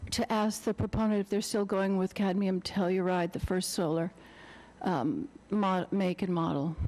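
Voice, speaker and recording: A woman speaks in a normal speaking voice at medium pitch and a moderate pace, with ordinary pitch variation and a quiet background. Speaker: public meeting commenter. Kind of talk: public comment at town hearing.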